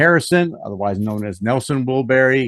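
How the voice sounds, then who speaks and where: Over a quiet background, a man speaks with an American accent. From US South. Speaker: music reviewer, channel host. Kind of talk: casual chat.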